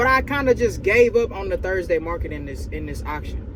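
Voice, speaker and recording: Over noticeable background noise, a man talks fairly quickly in an animated tone. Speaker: used car dealer and vlogger. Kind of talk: casual vlog talk to camera. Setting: inside a truck at a car auction. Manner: louder, animated; whispering near other dealers.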